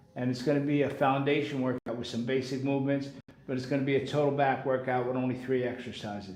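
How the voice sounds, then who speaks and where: With audible room echo, a man speaks at a fairly high pitch. His intonation is fairly even. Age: 60s. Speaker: personal trainer. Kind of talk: live workout tutorial. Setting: live stream. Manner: casual, conversational.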